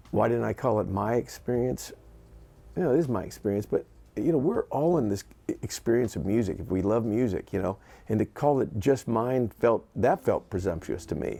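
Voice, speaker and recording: This man's voice sits at a medium pitch, with a dark, mellow tone. His intonation is lively and his pace fairly quick. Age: 60s. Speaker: session guitarist and producer. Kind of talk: casual talk to camera. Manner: chatty; halting, many fillers and restarts.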